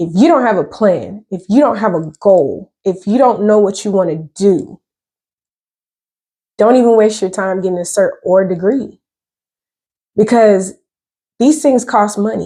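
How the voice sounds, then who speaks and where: A woman in an Atlanta accent, medium pitch with ordinary pitch variation, dark, mellow tone, fairly slow pace with long, frequent pauses, on a very clean recording with a silent background. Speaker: cybersecurity content creator. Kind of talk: casual explainer monologue. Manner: casual, conversational.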